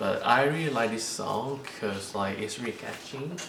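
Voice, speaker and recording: A man with a non-native accent, audible room echo and noticeable background noise. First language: not English. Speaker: K-pop unboxing YouTuber. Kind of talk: casual unboxing vlog. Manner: halting, many fillers.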